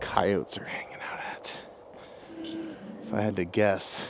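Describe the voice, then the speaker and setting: A man whispers in a space with audible room echo and noticeable background noise. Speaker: outdoor vlogger. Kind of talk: vlog monologue. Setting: outdoors in woods at night.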